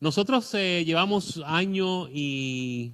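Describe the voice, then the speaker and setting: A man with lively intonation, in a very clean recording with a silent background. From Puerto Rico. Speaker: guest pastor. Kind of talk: testimony. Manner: halting, many fillers.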